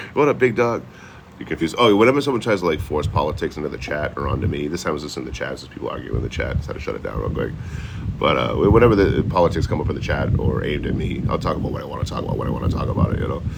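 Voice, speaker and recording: A man with a Boston accent speaks at a very fast pace in an animated tone, his very deep, low pitch making very wide swings. Noticeable background noise runs underneath. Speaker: livestreamer. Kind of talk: casual livestream chat. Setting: outdoors.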